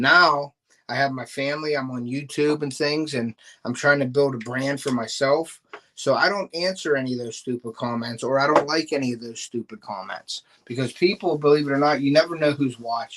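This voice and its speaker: Talking at a fairly quick pace with a Pittsburgh accent, a man uses a fairly high pitch with ordinary pitch variation. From Pittsburgh, western Pennsylvania. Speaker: fishing YouTuber and bait maker. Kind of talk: casual live stream chat. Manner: casual, filler-heavy.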